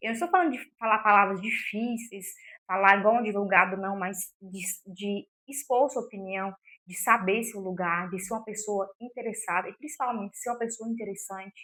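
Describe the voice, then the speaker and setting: The voice has a bright, sharp tone, ordinary pitch variation and big swings in loudness. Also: woman, medium pitch for a woman. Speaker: self-help youtuber. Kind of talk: motivational talk to camera. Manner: fast; occasional stumbles over words.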